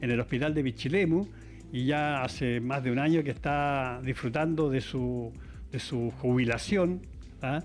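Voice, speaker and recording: A man speaks at a fairly high pitch with ordinary variation. Music plays in the background. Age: 60s. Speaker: TV talk show host. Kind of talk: TV interview show. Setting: live TV studio. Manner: hesitant, many filler sounds.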